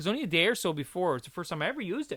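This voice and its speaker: In a Newfoundland accent, a man speaks at a high pitch with a bright, sharp tone. The recording is very clean with a silent background. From Newfoundland, Canada. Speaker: podcast host. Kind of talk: casual chat.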